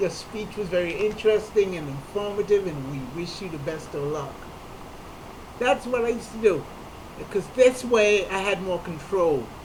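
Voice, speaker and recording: A man talks at a moderate pace with a high pitch and lively intonation. Noticeable background noise and audible room echo accompany him. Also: big swings in loudness. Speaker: comedian. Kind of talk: personal talk to camera.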